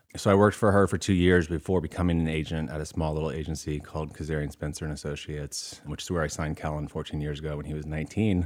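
Hardly pausing at all, a man with an American accent races at a very fast pace, his very deep, low pitch held to fairly even intonation. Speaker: film producer. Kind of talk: casual interview.

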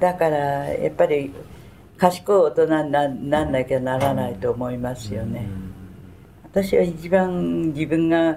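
A woman's very deep, low voice with lively intonation, at a fairly slow pace with long, frequent pauses amid noticeable background noise. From Tokyo (Sumida, shitamachi). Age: 90s. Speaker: war survivor. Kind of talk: testimony. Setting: museum.

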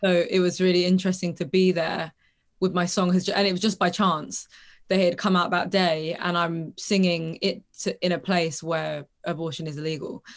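In a monotone, flat delivery, a woman speaks at a moderate pace and a fairly low pitch. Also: very clean recording, silent background. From London, England. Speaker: singer-songwriter. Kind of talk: interview conversation. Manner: casual, laughs often.

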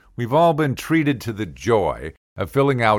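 A man's animated voice with lively intonation, over a very clean recording and a silent background. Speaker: comedy podcaster. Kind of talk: comedic rant; angry rant. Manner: animated, sarcastic.

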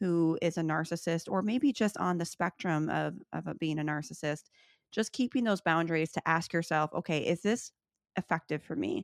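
A woman with an American accent and a normal speaking voice talks at a moderate pace, her pitch fairly low and her intonation lively. The recording is very clean, dry and close, with a silent background and no echo. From US Midwest, Chicago. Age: 30s. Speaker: author and podcaster. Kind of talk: interview.

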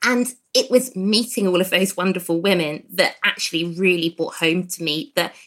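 A woman speaks with an English accent at a fairly slow pace. Her medium-pitched voice has a bright, sharp tone. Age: 30s. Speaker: gynaecologist. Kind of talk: casual chat.

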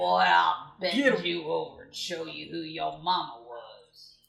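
A man puts on a character voice, speaking at a fairly slow pace. His loudness swings a lot. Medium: actual play. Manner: belligerent, shouting insults.

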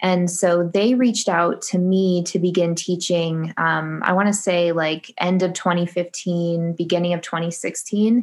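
A woman's fairly low voice with an American accent, a normal speaking voice at a fairly slow pace, with hardly any pauses, very even loudness and fairly even intonation. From US Midwest, Michigan. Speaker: surface pattern designer and online art teacher. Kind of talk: casual interview chat.

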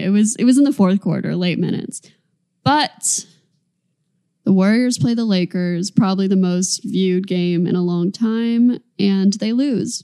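This woman has a dark, mellow tone at a medium pitch. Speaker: basketball podcast co-host. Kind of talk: casual chat. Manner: energetic.

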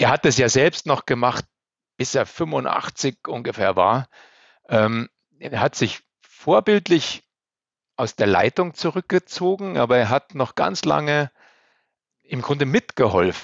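At a very slow pace, a man speaks in a medium pitch with very wide pitch swings and long, frequent pauses. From Upper Bavaria, Germany. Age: 50s. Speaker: elevator company managing director. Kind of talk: interview.

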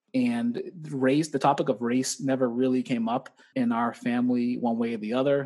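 Using an American accent, a man speaks at a fairly quick pace with a medium pitch. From Boston, Mattapan. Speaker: gym owner and personal trainer. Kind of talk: casual interview. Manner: energetic.

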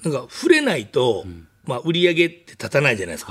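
In a Kansai accent, a man talks at a very fast pace with vocal fry and very wide pitch swings. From Kansai, Japan. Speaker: restaurant owner. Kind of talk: casual interview.

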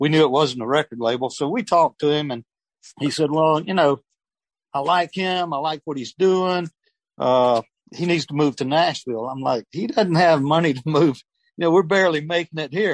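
A man with a Southern US accent talks at a moderate pace, his voice fairly high with ordinary pitch variation. The sound is dry and close, with no echo. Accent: Southern US (Georgia). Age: 70s. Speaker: retired air force veteran, music manager. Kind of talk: interview.

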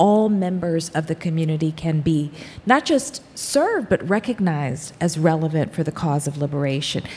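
A woman speaks in a somewhat breathy, fairly low-pitched voice at a moderate pace, with hardly any pauses. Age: 50s. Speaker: author and scholar. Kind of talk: panel discussion on stage. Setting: stage with live audience.

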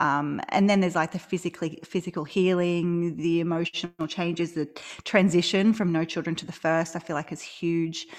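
In an Australian accent, a woman speaks at a fairly low pitch. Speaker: maternity leave coach. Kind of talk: casual interview chat.

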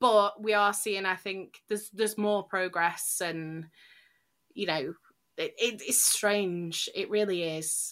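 A woman's very slow speech with fairly even intonation, on a very clean recording with a silent background. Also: medium pitch for a woman. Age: 20s. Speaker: YouTuber, makeup creator. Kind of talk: interview.

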